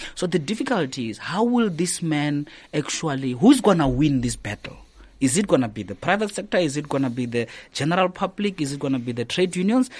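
Over a quiet background, a somewhat breathy man talks at a fairly quick pace, his fairly high pitch swinging very widely. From South Africa, Limpopo. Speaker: political analyst and author. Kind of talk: radio interview. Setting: radio studio.

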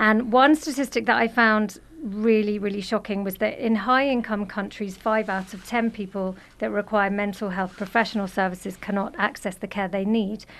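A woman with a British accent, medium pitch, fairly even intonation, and a moderate pace. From Britain. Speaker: social worker and therapist. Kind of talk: radio interview, casual chat. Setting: radio studio.

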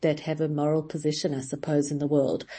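A woman speaks with a very deep, low pitch. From South Africa. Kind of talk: radio interview. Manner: halting.

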